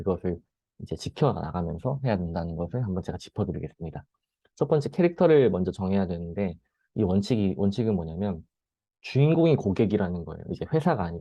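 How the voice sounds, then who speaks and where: Lively in intonation, a man with a fairly low pitch speaks at a very fast pace. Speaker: presenter. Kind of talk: lecture.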